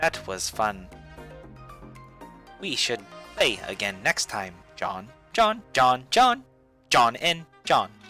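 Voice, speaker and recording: Using a robotic, put-on character voice at a medium pitch, a man speaks very slowly with long, frequent pauses while faint music plays in the background. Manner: playful, taunting.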